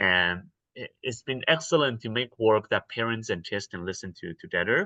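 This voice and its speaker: A man with a Mandarin accent speaks at a medium pitch and a moderate pace, with lively intonation and a bright, sharp tone. The sound is dry and close with no echo, over a quiet background. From Taiwan. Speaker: actor and theatre artist. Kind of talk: interview. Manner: halting, many fillers and repeats.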